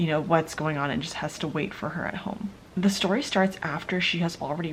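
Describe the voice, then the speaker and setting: The voice is whispering. It stays soft-spoken. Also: woman. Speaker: book vlogger. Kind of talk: casual vlog talk. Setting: at home late at night. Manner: whispering, soft.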